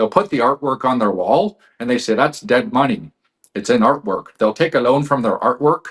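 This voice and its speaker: The recording is dry and close with no echo, and a man speaks at a moderate pace with a medium pitch. His intonation is lively, in an unremarkable speaking voice. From Canada. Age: 40s. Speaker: financial expert. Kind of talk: interview.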